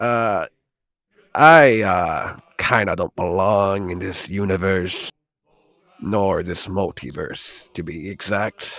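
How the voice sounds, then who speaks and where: A man uses a raspy, put-on character voice at a fairly low pitch with ordinary pitch variation, speaking at a very slow pace with long, frequent pauses. The recording is very clean, with a silent background and a dry, close sound with no echo. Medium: actual play. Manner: hesitant, chatty.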